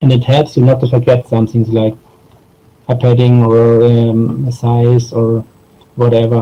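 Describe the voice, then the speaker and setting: In a dark, mellow tone, a man speaks at a medium pitch with a somewhat breathy, monotone, flat delivery, very even loudness and a fairly slow pace. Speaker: software designer. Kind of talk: conference talk. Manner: halting, many fillers.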